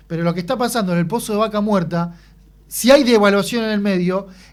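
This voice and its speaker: On a very clean recording with a silent background, a man talks, his pitch varying in an ordinary way. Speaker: radio host. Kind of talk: radio interview.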